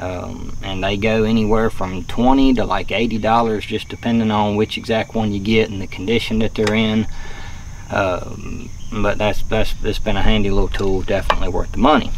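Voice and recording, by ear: A man's fairly low voice at a moderate pace, with clear background noise. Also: fairly even intonation.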